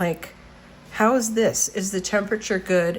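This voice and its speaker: Here a woman speaks at a fairly slow pace. Her intonation is fairly even. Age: 60s. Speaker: journaling vlogger. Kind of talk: casual tutorial walkthrough. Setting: home studio. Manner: halting, many fillers.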